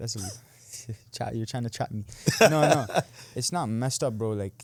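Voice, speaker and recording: An unremarkable speaking voice belongs to this man, set at a medium pitch. His pace is moderate, and his pitch varies in an ordinary way. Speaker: online creator and boxer. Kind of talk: interview answer. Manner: casual, blunt.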